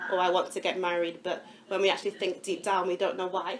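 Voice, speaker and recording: Very fast, monotone speech from a woman at a medium pitch, with noticeable background noise. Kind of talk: testimony talk.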